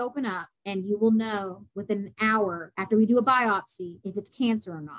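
A woman's fairly high-pitched voice, an unremarkable speaking voice with ordinary pitch variation. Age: 20s. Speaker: model and cancer patient. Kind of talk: interview testimony.

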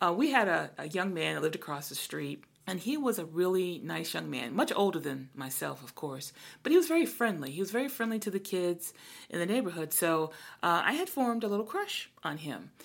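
Speaking fairly quickly with an American accent, a woman uses a fairly low pitch, vocal fry and very wide pitch swings. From Brooklyn, New York. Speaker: podcast co-host, church minister. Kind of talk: casual chat.

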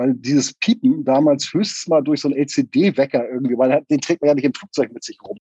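Dark, mellow tone with lively intonation in a dry, close sound with no echo. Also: man. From northern Germany, Hamburg south. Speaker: musician. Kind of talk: interview.

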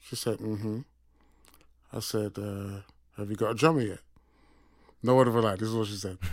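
In a Yorkshire accent, a man speaks at a fairly quick pace and fairly low pitch, with fairly even intonation, big swings in loudness, and long, frequent pauses. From Sheffield, England. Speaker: session drummer. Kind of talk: interview conversation. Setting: studio.

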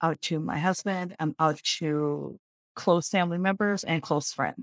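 This woman has a normal speaking voice, pitched fairly low with fairly even intonation, captured dry and close with no echo in a very clean recording with a silent background. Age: 50s. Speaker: podcast guest in a support group discussion. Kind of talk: casual group conversation.

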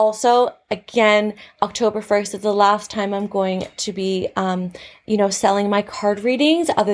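A woman with a Canadian accent has a plain, everyday voice, speaking at a moderate pace and medium pitch with ordinary pitch variation. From Canada. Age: 30s. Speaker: podcast host and teacher. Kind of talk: casual solo podcast talk.

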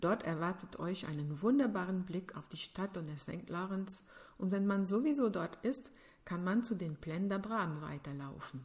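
Speaking with a French accent, a woman uses lively intonation at a medium pitch. Her voice is somewhat breathy, and her pace is moderate. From Quebec City, Canada. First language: French (speaking German). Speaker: podcast host. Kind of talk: scripted narration.

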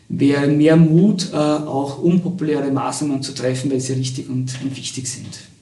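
A man speaks in a fairly high pitch with fairly even intonation. Noticeable background noise and audible room echo are present. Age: 50s. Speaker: university lecturer. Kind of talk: interview. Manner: halting.

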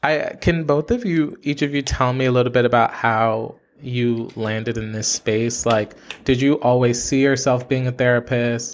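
Here a man with an American accent has a normal speaking voice at medium pitch. He keeps a moderate pace and fairly even intonation. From Haitian family, US. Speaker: podcast host. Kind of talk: interview.

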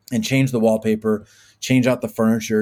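The voice has a dark, mellow tone. It comes with an American accent. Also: man. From Arizona, Tempe. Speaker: video production studio founder. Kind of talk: interview conversation. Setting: video call.

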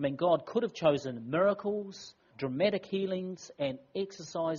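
Here someone is reading aloud in a natural voice.

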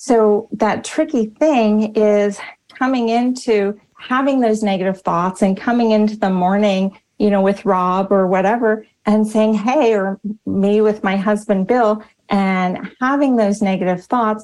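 A woman with an ordinary speaking voice and fairly high pitch talks at a fairly slow pace, with fairly even intonation and very even loudness. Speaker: speaker and personal coach. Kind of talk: casual interview chat.

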